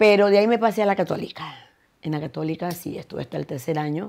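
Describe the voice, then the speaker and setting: A woman's dark, mellow tone comes through over a quiet background. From Ecuador (Guayaquil). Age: 70s. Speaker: singer; interviewee. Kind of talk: interview. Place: home room.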